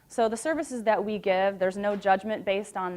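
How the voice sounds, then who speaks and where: On a very clean recording with a silent background, a woman speaks very fast with ordinary pitch variation. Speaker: nonprofit program manager. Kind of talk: presentation. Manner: loud.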